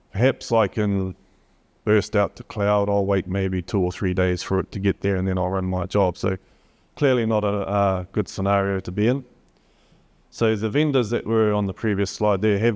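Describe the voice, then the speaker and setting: Speaking with a New Zealand accent, a man uses a fairly low pitch and fairly even intonation. The recording is dry and close with no echo, over a quiet background. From New Zealand, Gisborne. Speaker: HPC company solutions presenter. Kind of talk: conference talk.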